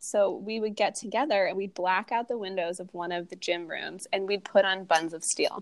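Using an unremarkable speaking voice, a woman talks at a medium pitch and a moderate pace with hardly any pauses. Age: 30s. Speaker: podcast host and barre instructor. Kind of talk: casual interview chat.

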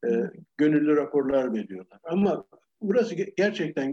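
A man with a dark, mellow tone and fairly high pitch speaks at a moderate pace with lively intonation, in a dry, close sound with no echo. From Turkey, Ankara. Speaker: retired architecture professor. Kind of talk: interview.

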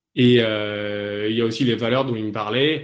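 A normal speaking voice from a man, medium pitch, fairly even intonation, moderate pace. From southern France (Toulon). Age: 20s. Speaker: navy officer, mine-clearance diver. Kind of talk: interview in a webinar. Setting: online webinar.

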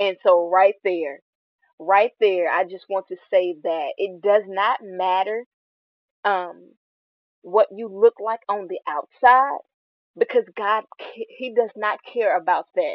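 A woman talks at a very slow pace with long, frequent pauses. Her pitch is medium, and her loudness swings widely. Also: ordinary pitch variation. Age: 20s. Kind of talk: faith-based monologue. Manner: halting, many fillers.

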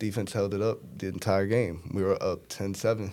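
This man, with a New York accent, has a fairly low pitch and a monotone, flat delivery on a very clean recording with a silent background. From Brooklyn, New York. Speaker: college football quarterback. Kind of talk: casual chat.

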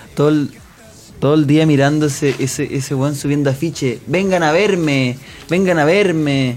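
Over noticeable background noise, a man with a fairly high pitch speaks with fairly even intonation and very even loudness. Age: 20s. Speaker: comedian. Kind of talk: comedic radio banter. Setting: studio.

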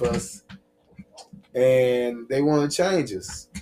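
A man's voice carries ordinary pitch variation while music plays in the background. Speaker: podcast host. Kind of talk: casual podcast chat.

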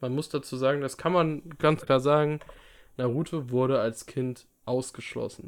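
In a plain, everyday voice, a man talks at a moderate pace. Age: 20s. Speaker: podcast co-host. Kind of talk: casual chat. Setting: video call.

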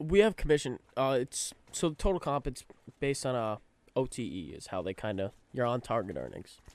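At a fairly quick pace, a man talks in a plain, everyday voice at a medium pitch. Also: very clean recording, silent background. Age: 20s. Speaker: real estate agent. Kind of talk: casual chat.

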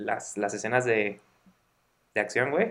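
A man with a Mexican accent at a moderate pace, with ordinary pitch variation. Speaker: podcast co-host. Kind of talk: casual chat.

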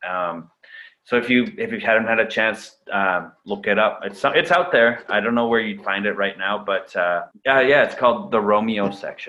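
At a moderate pace, a man with a Canadian accent speaks at a medium pitch with ordinary pitch variation. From Canada. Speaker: actor and director. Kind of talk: casual interview. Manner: halting, many fillers and repeats.

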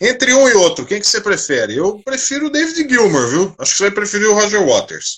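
Talking at a fairly quick pace with hardly any pauses, a man with a high pitch makes very wide pitch swings over noticeable background noise. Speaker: live stream host. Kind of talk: casual chat.

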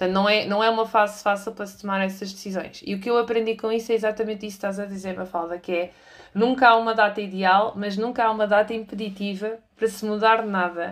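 A woman's medium-pitched, very fast delivery with flat, monotone intonation and big swings in loudness. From Portugal, moved between cities. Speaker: employer branding specialist and trainer. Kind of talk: interview. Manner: halting, many fillers.

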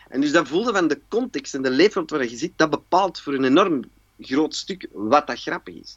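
A man speaks at a moderate pace with lively intonation and a fairly high pitch. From Antwerp, Belgium. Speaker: actor and cabaret performer. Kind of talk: casual chat.

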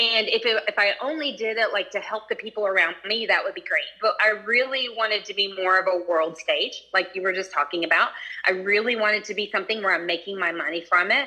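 The speech moves at a fairly quick pace with hardly any pauses and ordinary pitch variation, over noticeable background noise. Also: woman, medium pitch for a woman. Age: 50s. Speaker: astrology student. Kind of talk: casual question to teacher. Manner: halting, many fillers.

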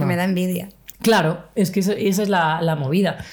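A woman at a fairly quick pace, medium in pitch, with an unremarkable speaking voice. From Spain, Cartagena (Murcia). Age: 30s. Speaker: LGBTI activist and podcaster. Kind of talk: casual interview chat. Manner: casual, slangy.

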